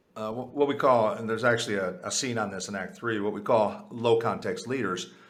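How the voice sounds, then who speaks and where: There is audible room echo as the speech moves at a fairly quick pace. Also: man, medium pitch for a man, ordinary pitch variation. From US, Puerto Rican family. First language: Spanish. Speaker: author and leadership advisor. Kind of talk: interview. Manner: frequent fillers and repetitions.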